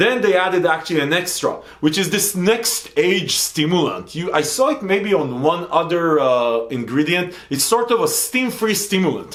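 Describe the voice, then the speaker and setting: A man with a high pitch, animated tone and lively intonation, hardly any pauses, and noticeable background noise. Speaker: supplement reviewer. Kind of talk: product review. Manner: fast.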